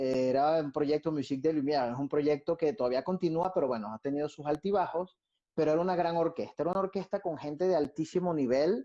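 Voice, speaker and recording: A man talks very fast in a fairly high pitch with a dark, mellow tone. The sound is dry and close with no echo. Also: ordinary pitch variation. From Venezuela. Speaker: violinist and orchestra conductor. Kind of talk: interview answer. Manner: casual, reflective.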